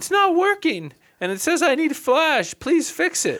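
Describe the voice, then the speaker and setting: At a moderate pace, someone puts on a character voice with a high pitch. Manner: needy, pleading.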